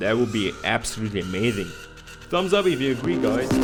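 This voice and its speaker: A man with a German accent and very wide pitch swings. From Germany. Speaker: gaming YouTuber. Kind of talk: video game preview narration. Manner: casual, jokey.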